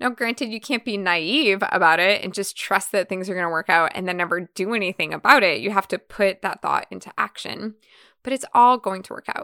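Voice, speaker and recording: In a very clean recording with a silent background and a dry, close sound with no echo, a woman talks fairly quickly in a bright, sharp, animated and energetic tone, her loudness swinging widely. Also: medium pitch for a woman, ordinary pitch variation. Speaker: podcast host and event educator. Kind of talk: solo podcast monologue. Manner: animated, energetic, varied pitch; conversational, warm.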